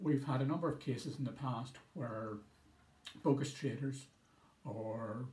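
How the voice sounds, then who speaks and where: Pitch varies in an ordinary way. Room echo is audible. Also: man. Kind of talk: public information talk. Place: office. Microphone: phone near.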